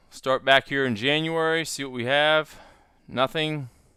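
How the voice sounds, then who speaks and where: A bright, sharp tone in a flat monotone, in a very clean recording with a silent background. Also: man. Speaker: stock trader and trading educator. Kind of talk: screen-share tutorial. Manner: casual.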